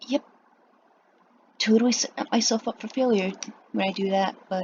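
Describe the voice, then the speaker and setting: A woman's fairly high, somewhat breathy voice with ordinary pitch variation at a moderate pace. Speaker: artist drawing on stream. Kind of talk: voiceover while drawing. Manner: long pauses, stuttering; trouble pronouncing some words. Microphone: laptop built-in mic.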